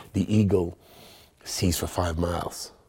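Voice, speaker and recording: Speaking at a moderate pace, a man with a very deep, low voice has a dark, mellow, somewhat breathy tone and ordinary pitch variation. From Nigeria. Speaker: pastor. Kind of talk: interview. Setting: studio.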